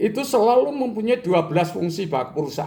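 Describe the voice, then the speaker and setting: Audible room echo surrounds a man whose voice moves in very wide pitch swings. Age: 70s. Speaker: business educator, retired entrepreneur. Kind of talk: lecture.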